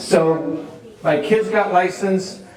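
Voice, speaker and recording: A man with a New York accent amid noticeable background noise and audible room echo. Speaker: real estate agent and speaker. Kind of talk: conference talk. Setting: stage with audience.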